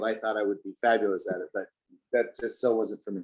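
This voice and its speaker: In an ordinary speaking voice, a man with an American accent talks at a medium pitch with ordinary pitch variation. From Denver, Colorado. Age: 60s. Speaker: pianist. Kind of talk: interview. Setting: video call.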